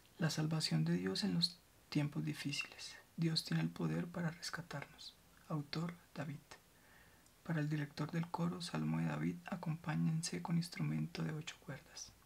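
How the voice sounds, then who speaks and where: This soft-spoken voice has a gentle tone and moves at a moderate pace. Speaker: ASMR reader. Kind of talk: ASMR scripture reading. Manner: soft-spoken, gentle, quiet ASMR reading.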